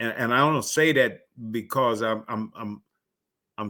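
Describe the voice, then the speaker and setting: A man's medium-pitched voice, bright and sharp in tone, with ordinary pitch variation at a moderate pace, on a very clean recording with a silent background. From Louisiana, US South; moved to Michigan at ten. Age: 60s. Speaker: panelist, fraternity mentor. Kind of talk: panel discussion. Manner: halting, many fillers.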